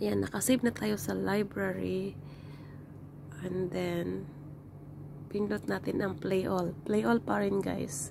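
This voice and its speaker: Very slow and marked by long, frequent pauses, the speech rises and falls in very wide pitch swings. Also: woman, very deep, low pitch for a woman. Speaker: tutorial vlogger. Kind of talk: tutorial. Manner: halting.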